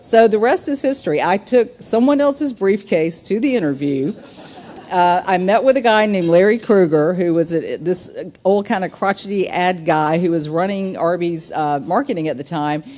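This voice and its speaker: Against noticeable background noise, the voice keeps a moderate pace and lively intonation. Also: woman, medium pitch for a woman. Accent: Southern. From US South, small town. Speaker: business executive, keynote speaker. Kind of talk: luncheon speech.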